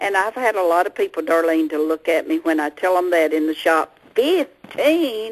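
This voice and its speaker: This is a woman with a fairly low pitch. Her pitch varies in an ordinary way. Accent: Southern US. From US South. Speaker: co-host, herbalist. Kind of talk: casual chat.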